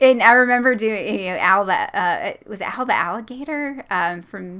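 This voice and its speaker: A woman's fairly high, bright, sharp voice in a Southern US accent, with big swings in loudness. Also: lively intonation, moderate pace. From US South. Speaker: creepypasta narrator and channel host. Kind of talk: casual interview chat.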